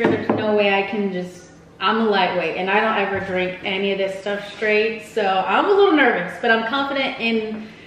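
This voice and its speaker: At a moderate pace, the speech comes through light background noise and audible room echo. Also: woman. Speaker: vlogger hosting a couple's quiz. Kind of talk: casual vlog chat. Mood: playful, a little nervous. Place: home room. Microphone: camera far.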